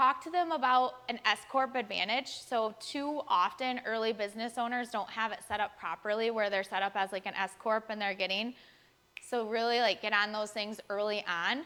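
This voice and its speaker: A woman speaks in an animated, bright and sharp tone at a fairly high pitch. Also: ordinary pitch variation. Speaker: chiropractic business coach. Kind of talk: workshop presentation. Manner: fast; casual, animated.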